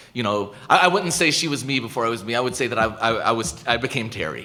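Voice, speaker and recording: The speaker has an American accent and lively intonation, with audible echo in the room. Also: man. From United States. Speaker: professor. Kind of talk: lecture Q&A. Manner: halting, many repetitions.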